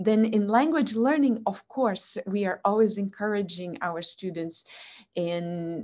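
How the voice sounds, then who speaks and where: A woman speaks with a Portuguese accent and a dark, mellow tone. Her pace is fairly slow. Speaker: language instructor with a PhD. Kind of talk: interview over video call.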